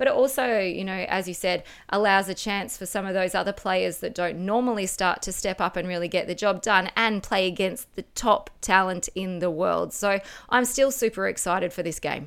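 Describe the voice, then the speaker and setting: A woman talks at a moderate pace with fairly even intonation and medium pitch. The recording is very clean, with a silent background. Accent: Australian. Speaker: football pundit, former player. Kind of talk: casual chat.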